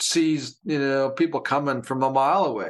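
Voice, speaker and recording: A man with a Canadian accent and a normal speaking voice, ordinary pitch variation, a moderate pace, and a quiet background. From Canada (Alberta). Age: 60s. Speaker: podcast co-host. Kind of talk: casual chat.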